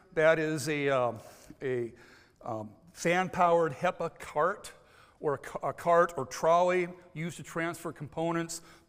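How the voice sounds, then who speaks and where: A fairly high-pitched man with an American accent and ordinary pitch variation, in a very clean recording with a silent background. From United States. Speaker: contamination control consultant. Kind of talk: conference presentation. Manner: frequent filler words and hesitations.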